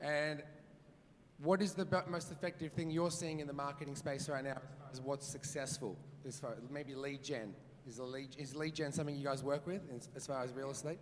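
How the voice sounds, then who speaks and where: A man's fairly high voice with an Australian accent, over noticeable background noise and audible room echo. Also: fairly quick pace. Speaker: real estate agent and auctioneer. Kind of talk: conference talk with audience Q&A. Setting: stage with live audience. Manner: fast; animated.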